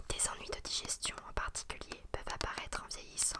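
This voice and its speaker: A woman whispers at a moderate pace. Background noise is noticeable. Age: 20s. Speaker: ASMR creator. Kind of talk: ASMR astrology reading. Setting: home studio microphone. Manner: whispered, soft.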